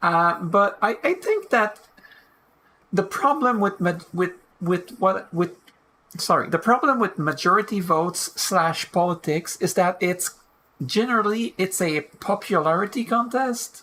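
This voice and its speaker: A woman with a non-native accent speaks fairly slowly at medium pitch. Her tone is bright and sharp, her intonation lively. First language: not English. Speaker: video game let's player. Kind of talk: let's play commentary, reading game text aloud. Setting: home recording of gameplay. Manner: halting, stumbles over words. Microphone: low quality re-downloaded audio.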